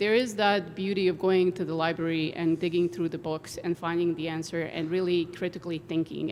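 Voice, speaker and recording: Talking at a very fast pace, a woman with a non-native accent has a fairly low pitch. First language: not English. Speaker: engineering professor. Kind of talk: panel discussion.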